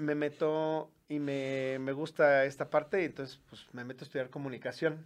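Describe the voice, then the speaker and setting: With an unremarkable speaking voice, a man talks at a moderate pace, pitched fairly high, with big swings in loudness. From Mexico, León, Guanajuato. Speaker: TV and radio producer, musician. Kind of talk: interview.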